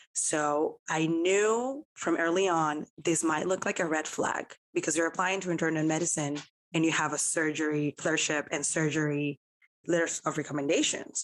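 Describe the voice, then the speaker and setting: At a moderate pace, a woman with a Spanish accent speaks in a very deep, low pitch. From Dominican Republic. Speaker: physician. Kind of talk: interview.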